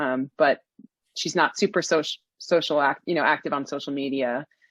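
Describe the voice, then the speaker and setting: In an American accent, a woman speaks at a moderate pace with a very deep, low pitch and fairly even intonation, captured in a very clean recording with a silent background. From New York (Queens). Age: 40s. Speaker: golf teaching professional. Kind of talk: podcast interview.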